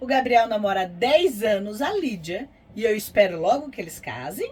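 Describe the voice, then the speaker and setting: A woman with an interior São Paulo accent, fairly slow, with very wide pitch swings. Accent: Brazilian Portuguese, interior São Paulo. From Americana, interior of São Paulo state, Brazil. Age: 50s. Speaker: vlogger, motorhome traveler. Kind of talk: casual chat.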